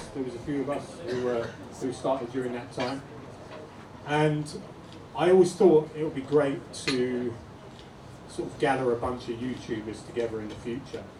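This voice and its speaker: A man with a London accent speaks at a medium pitch and moderate pace, with big swings in loudness. Long, frequent pauses break up his speech, and audible room echo is present. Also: ordinary pitch variation. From England, North London. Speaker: YouTuber. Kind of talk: talk to audience. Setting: pub event with audience.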